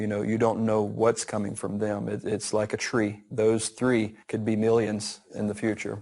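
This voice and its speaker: In a Southern US accent, a man speaks at a fairly low pitch and a fairly slow pace, his intonation monotone and flat. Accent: Southern American. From Southern United States. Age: 40s. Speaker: farmer. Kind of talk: interview answer.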